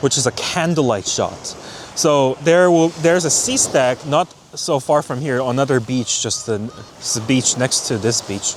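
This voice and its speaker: A man speaks at a fairly high pitch in a Korean accent, with ordinary pitch variation. Noticeable background noise runs behind him. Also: moderate pace. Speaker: landscape photographer. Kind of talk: casual vlog narration. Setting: outdoors on a beach.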